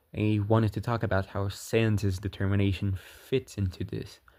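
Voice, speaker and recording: A man at a fairly low pitch with fairly even intonation and a moderate pace, on a very clean recording with a silent background. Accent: non-native. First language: not English. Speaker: video game theory youtuber. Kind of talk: scripted narration; casual outro to viewers. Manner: halting.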